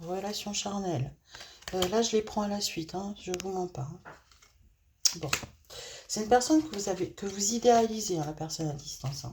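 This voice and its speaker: Against noticeable background noise, a woman with a medium-pitched voice and lively intonation speaks at a moderate pace, leaving long, frequent pauses. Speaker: tarot card reader. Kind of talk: tarot reading. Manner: hesitant, many fillers.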